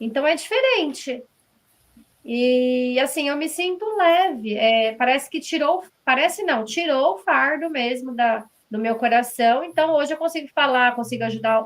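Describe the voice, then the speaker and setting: A woman talks at a fairly slow pace in a high voice. Her intonation is lively. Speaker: author. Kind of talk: interview. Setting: live stream.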